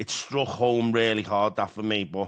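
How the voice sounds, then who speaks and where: With a Liverpool accent, a man of medium pitch speaks in a bright, sharp tone against a quiet background. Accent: Scouse. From Liverpool, England. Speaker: podcast host in addiction recovery. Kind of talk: casual chat.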